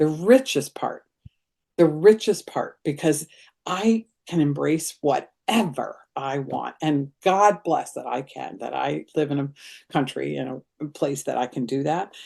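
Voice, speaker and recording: A woman with a very deep, low voice and a dark, mellow tone speaks at a fairly slow pace, with vocal fry, lively intonation and big swings in loudness. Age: 70s. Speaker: grief group facilitator. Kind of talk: casual chat.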